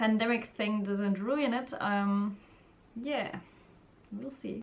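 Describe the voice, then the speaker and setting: Speaking with an Austrian accent, a woman talks at a fairly slow pace and medium pitch with ordinary pitch variation. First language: German. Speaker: student vlogger. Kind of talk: casual vlog advice.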